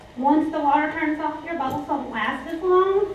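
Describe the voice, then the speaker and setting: Audible room echo surrounds a voice that keeps a moderate pace and fairly even intonation. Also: woman. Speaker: former teacher giving a product talk. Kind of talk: product presentation to a live audience. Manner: gets loud at times.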